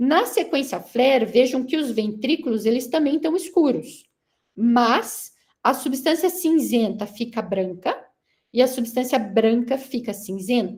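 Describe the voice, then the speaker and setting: A woman speaks at a fairly slow pace with a high voice. Her intonation is lively. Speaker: neurosurgeon giving a guest lecture. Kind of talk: lecture.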